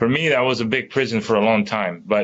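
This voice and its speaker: Here a man speaks with a Spanish accent. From Dominican Republic. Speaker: tech company employee on diversity panel. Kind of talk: panel discussion.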